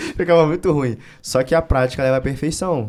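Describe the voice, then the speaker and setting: On a very clean recording with a silent background, a man's speech moves at a fairly quick pace. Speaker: wrestling coach and content creator. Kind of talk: interview conversation. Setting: studio. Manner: fast.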